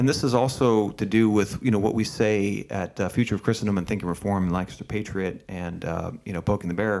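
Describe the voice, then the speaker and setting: In a very clean recording with a silent background, a man with an American accent talks at a fairly quick pace in an ordinary speaking voice, fairly low in pitch and fairly even in intonation. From Pennsylvania, Berks County. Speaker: podcast host. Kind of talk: interview podcast. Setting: video recording.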